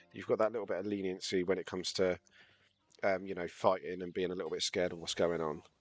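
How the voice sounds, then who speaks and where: Music plays in the background as a man talks at a fairly quick pace, the sound dry and close with no echo. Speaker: game tutorial streamer. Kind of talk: casual game tutorial commentary. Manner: casual, rambling.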